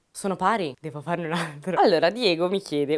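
A woman talks at a very fast pace and a fairly low pitch. The background is quiet. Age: 20s. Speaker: YouTuber. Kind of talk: Q&A vlog, casual monologue. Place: studio. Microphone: lapel.

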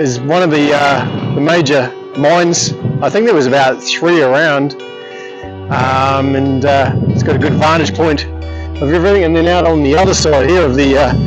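Clear music plays behind a man talking at a moderate pace. He leaves long, frequent pauses. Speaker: travel vlogger. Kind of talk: casual vlog chat. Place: open country. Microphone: phone near.

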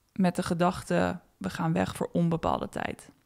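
At a fairly slow pace, a woman speaks at medium pitch in monotone, flat intonation. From Netherlands. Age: 30s. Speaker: podcast host. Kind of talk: reflective solo podcast monologue.

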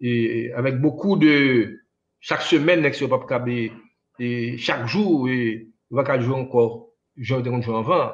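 This man's medium-pitched voice moves at a very slow pace. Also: ordinary pitch variation. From Haiti. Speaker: musician; interview guest. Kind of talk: interview. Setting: remote interview over internet. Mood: reminiscing calmly. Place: home room. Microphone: choppy internet connection; video call.

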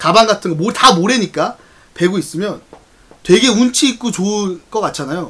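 A man speaks at a fairly quick pace. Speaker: live streamer. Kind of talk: casual storytelling to stream viewers. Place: home room. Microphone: studio mic.

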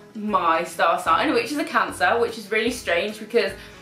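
Faint music and audible room echo surround a woman's voice. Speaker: style vlogger. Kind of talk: casual vlog chat. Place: home room.

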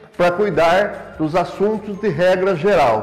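A man talks rather slowly, his voice pitched high. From Brazil, São Paulo state. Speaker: former city councillor. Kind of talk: interview testimony. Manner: formal. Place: office. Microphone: lapel.

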